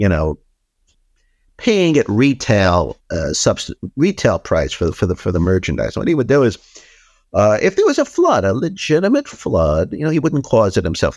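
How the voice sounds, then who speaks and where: A man with a New York accent at a fairly quick pace, in a very clean recording with a silent background and a dry, close sound with no echo. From New York City, the Bronx. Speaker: investigative journalist and author. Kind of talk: interview.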